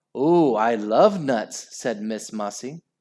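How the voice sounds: Lively intonation in a natural reading voice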